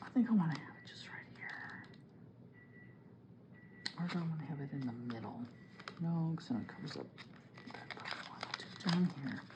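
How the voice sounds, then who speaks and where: A woman whispers and mumbles in a put-on character voice. She goes at a fairly quick pace but leaves long, frequent pauses. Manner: mumbling, talking to herself.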